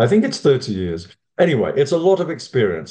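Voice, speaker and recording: A man with a British accent, a dark, mellow tone and a fairly quick pace. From United Kingdom. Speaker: fundraising consultant. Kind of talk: lecture.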